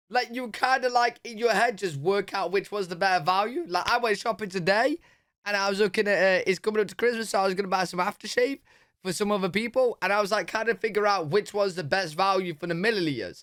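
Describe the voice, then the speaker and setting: Very fast speech comes from a man with a British accent. His pitch is high, with ordinary variation. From Britain. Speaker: reaction youtuber. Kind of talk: casual reaction commentary.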